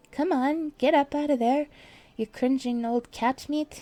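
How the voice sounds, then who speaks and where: Bellowing in a put-on character voice, a woman speaks at a high pitch and a moderate pace. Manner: contemptuous.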